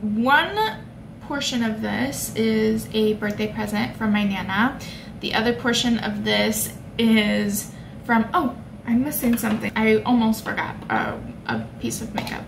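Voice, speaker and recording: Noticeable background noise sits behind a woman who talks fairly slowly. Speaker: beauty vlogger. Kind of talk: casual vlog chat. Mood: cheerful, chatty. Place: home room. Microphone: phone near.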